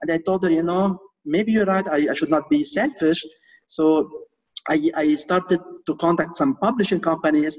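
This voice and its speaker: A man with a non-native accent speaks at a moderate pace in a high voice. His pitch varies in an ordinary way and his loudness stays very even. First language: not English. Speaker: real estate investor and author. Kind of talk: interview. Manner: hesitant, many fillers and repeats.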